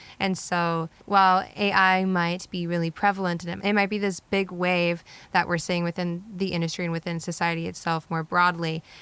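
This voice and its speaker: A woman's fairly low voice at a moderate pace, monotone and flat, with hardly any pauses. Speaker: podcast co-host. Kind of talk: casual podcast conversation.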